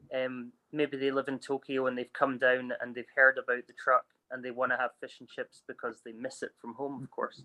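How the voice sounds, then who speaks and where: A bright, sharp tone with a Scottish accent at a moderate pace. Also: man. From Scotland. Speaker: food truck owner. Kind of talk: interview answer.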